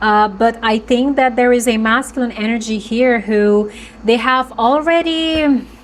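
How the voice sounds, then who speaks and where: A woman speaks at a fairly high pitch, at a fairly slow pace, with ordinary pitch variation. Her loudness stays very even over noticeable background noise. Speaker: tarot reader. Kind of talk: tarot reading monologue. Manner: halting, with fillers and restarts.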